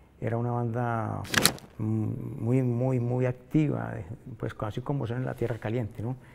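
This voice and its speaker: A man's fairly slow, medium-pitched speech with fairly even intonation over noticeable background noise. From Colombia, Manzanares, Caldas; Caldas, Colombia. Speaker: musician; interviewee. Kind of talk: interview. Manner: halting. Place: studio.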